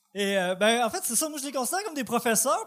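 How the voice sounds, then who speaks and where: A man talks with a Quebec accent. His intonation is lively. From Quebec, Côte-Nord (Port-Cartier). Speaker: amateur comedian. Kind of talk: stand-up. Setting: stage with audience.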